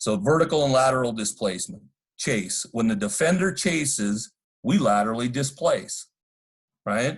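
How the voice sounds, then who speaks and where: At a moderate pace, a man with a medium pitch speaks in a somewhat breathy voice with lively intonation. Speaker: football coach. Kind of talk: coaching clinic presentation.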